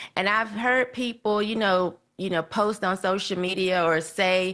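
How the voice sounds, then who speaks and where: A woman with a Southern US accent, medium pitch, fairly even intonation and a fairly slow pace, over a quiet background. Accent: Southern country. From US South. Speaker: podcast guest commentator. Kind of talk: casual chat.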